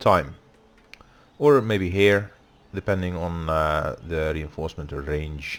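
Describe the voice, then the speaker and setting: This is a man speaking. He has a Dutch accent. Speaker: gaming YouTuber. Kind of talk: let's play commentary. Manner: hesitant with many fillers.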